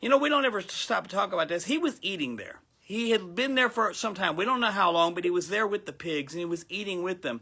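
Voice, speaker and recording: A man with an American accent, raised and projected, animated, with a bright, sharp tone at a moderate pace. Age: 60s. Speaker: pastor. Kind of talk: sermon.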